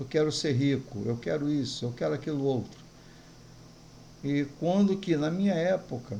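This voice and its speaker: Somewhat breathy and dark, mellow in tone, a man speaks at a moderate pace and fairly high pitch, with long, frequent pauses. Audible room echo is present. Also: lively intonation. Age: 60s. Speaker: pastor. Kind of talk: sermon.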